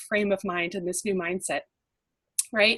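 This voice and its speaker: Her voice comes out somewhat breathy. The woman talks with an American accent. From California, Bay Area. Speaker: life coach. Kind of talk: motivational webinar talk. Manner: fast.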